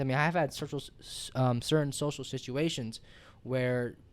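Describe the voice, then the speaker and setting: Fairly high male voice on a very clean recording with a silent background. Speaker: podcast host. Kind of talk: casual chat. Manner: fast, mumbling; animated.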